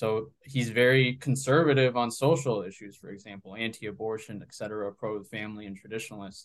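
A man with an American accent talks at a fairly quick pace and medium pitch, with ordinary pitch variation, big swings in loudness and hardly any pauses. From South Florida, Colombian parents. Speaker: policy researcher. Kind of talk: interview. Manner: halting, many fillers.

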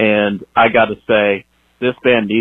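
His intonation stays monotone and flat. The man's pitch is medium. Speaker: metal correspondent. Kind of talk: voicemail message. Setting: phone message.

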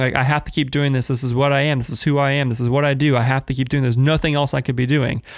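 On a very clean recording with a silent background, a man is heard. He talks very fast, with fairly even intonation. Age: 20s. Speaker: podcast host, video producer. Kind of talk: solo monologue, life update. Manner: casual, free-flowing with fillers.

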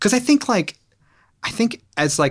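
A man with an American accent and vocal fry speaks at a fairly slow pace with ordinary pitch variation, in a very clean recording with a silent background. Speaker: musician. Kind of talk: casual interview chat.

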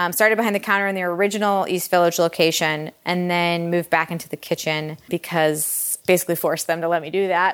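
In a Michigan accent, the speech races at a very fast pace with hardly any pauses and fairly even intonation on a very clean recording with a silent background. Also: woman, fairly low pitch for a woman. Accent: Michigan (Inland North) American. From US Midwest, Metro Detroit, Michigan. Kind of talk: author talk to a live audience. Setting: kitchen of a cookbook shop with audience.

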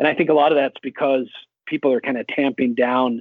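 A man with an American accent, an ordinary speaking voice, a fairly quick pace and fairly even intonation. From Idaho, US. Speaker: evangelist and Bible scholar. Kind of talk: interview testimony. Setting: phone call.

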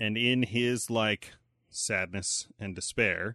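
A man with an American accent speaks at a fairly slow pace in a fairly low, bright and sharp voice, his intonation fairly even, the sound dry and close with no echo over a quiet background. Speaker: podcast host. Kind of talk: casual chat.

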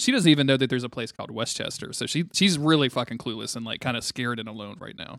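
Very fast and with hardly any pauses, a man speaks at a medium pitch, with ordinary pitch variation and big swings in loudness. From North Louisiana. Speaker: comic book podcast host. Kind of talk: casual chat. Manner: laughs often.

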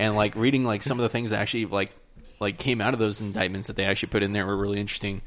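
A man's normal speaking voice, fairly low in pitch, with fairly even intonation. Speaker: podcast host. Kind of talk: casual chat over drinks.

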